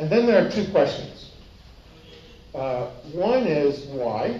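A man with an American accent talks at a very slow pace, leaving long, frequent pauses. His pitch swings very widely, and the room echo is audible. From United States. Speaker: economics professor. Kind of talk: conference lecture. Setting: stage with audience. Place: meeting room.

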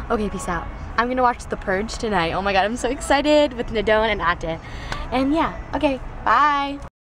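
A woman at a moderate pace, dry with no echo, amid noticeable background noise. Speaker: vlogger. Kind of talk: casual vlog chat. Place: car. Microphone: phone near.

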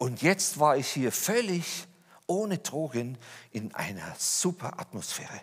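Against a quiet background, a man talks in an animated tone with very wide pitch swings. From Lower Bavaria, Germany; Bavaria, Germany. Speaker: speaker giving personal testimony; speaker. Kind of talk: testimony talk. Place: church.

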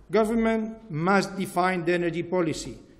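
Speaking at a fairly slow pace, a man with a high pitch keeps his intonation fairly even. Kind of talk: formal speech. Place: hall. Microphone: podium.

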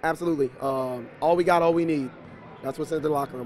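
A man's very fast, flat, monotone delivery, dry with no echo, over light background noise. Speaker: basketball head coach. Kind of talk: interview answer. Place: hall. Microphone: handheld.

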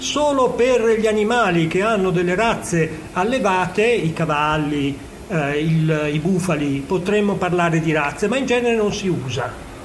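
A man talks at a fairly slow pace in a high pitch, with lively intonation and very even loudness. Noticeable background noise runs beneath him. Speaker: geneticist. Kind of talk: interview. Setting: on location at a science festival.

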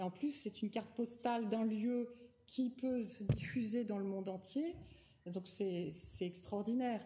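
Over light background noise, a woman with a plain, everyday voice speaks at a fairly slow pace and fairly high pitch, with ordinary pitch variation. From France, Nouvelle-Aquitaine (Rochefort); Nouvelle-Aquitaine, France. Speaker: wine journalist and winemaker; wine journalist. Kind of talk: lecture. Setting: lecture hall with audience. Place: hall. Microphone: podium.

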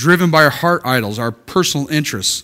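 A man talks at a moderate pace in a bright, sharp tone. The background is quiet. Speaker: preacher. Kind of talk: sermon. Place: church.

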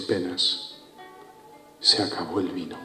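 A man talks at a fairly slow pace with audible room echo. Faint music plays in the background. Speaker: spoken word poet. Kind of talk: spoken word poetry performance. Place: stage. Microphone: handheld.

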